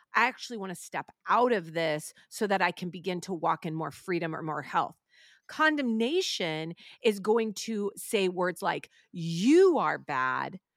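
An unremarkable speaking voice moves at a fairly slow pace. The very clean recording has a silent background and a dry, close sound with no echo. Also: woman, medium pitch for a woman, lively intonation. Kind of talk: casual chat. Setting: studio.

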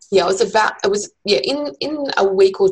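There's vocal fry in this woman's voice, and her pitch varies in an ordinary way. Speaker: marketing and event professional. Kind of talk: casual chat. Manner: halting.

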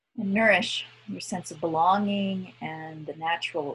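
A woman's unremarkable speaking voice, fairly slow and with fairly even intonation. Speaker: guided meditation leader. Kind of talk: guided meditation.

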